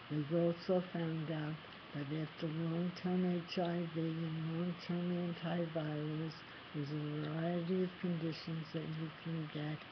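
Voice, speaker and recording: A woman with an American accent speaks at a fairly slow pace and fairly low pitch, her intonation monotone and flat. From US East Coast. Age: 60s. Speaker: person living with HIV. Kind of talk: personal testimony to camera.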